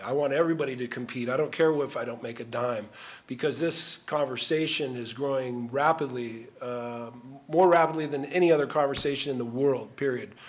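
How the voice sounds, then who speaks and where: At a moderate pace, a man with a fairly high pitch and ordinary pitch variation speaks over noticeable background noise. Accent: American. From Southern California. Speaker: former pro football player. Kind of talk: panel discussion. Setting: stage with audience.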